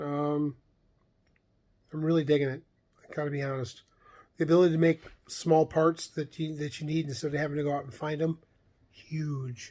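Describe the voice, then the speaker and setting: A man's fairly high voice at a moderate pace. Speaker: vlogger on camping and camper plans. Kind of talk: casual monologue vlog. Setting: recorded late at night. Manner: mumbling; halting, many fillers.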